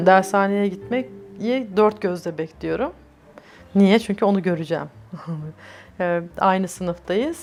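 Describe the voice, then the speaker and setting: With music in the background, a woman speaks at a very slow pace, using ordinary pitch variation and long, frequent pauses. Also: medium pitch for a woman. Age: 30s. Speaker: LGBTI+ activist. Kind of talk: oral history interview answer.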